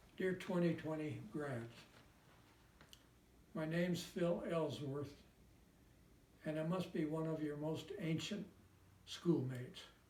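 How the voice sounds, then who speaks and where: A man with an American accent speaks very slowly in a dark, mellow, fairly high voice, with long, frequent pauses and fairly even intonation. Room echo can be heard. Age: 90s. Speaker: war veteran. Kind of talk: recorded personal message.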